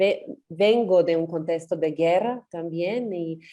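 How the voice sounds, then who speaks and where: Here is a woman with a fairly low pitch. Her tone is dark and mellow. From Serbia. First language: Serbian (speaking Spanish). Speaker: feminist activist. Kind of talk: panel discussion.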